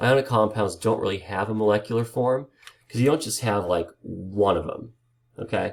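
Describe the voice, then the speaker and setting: Here is a man with an unremarkable speaking voice, pitched fairly low. He talks at a moderate pace with ordinary pitch variation. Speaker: chemistry teacher. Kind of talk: lecture.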